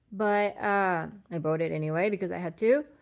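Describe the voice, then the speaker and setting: In a very clean recording with a silent background, a woman talks with a non-native accent. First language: not English. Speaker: patient vlogger. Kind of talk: casual personal vlog. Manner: halting, many fillers.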